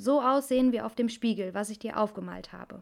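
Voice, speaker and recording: At a fairly quick pace, a woman speaks with ordinary pitch variation in a very clean recording with a silent background. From Cologne, Germany. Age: 20s. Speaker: hairdresser podcast host. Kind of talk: casual personal monologue.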